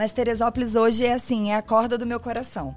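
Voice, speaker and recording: A woman talks in a Minas Gerais accent. Her pace is moderate. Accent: Minas Gerais (mineiro). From southern Rio de Janeiro state, Minas Gerais family. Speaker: preschool teacher and owner. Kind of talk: casual interview chat.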